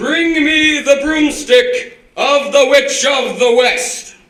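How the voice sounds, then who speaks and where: Someone uses a put-on character voice at a very slow pace. There is a slight echo. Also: man, extremely high pitch for a man. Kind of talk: comic overacting. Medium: stage play. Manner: booming, imperious.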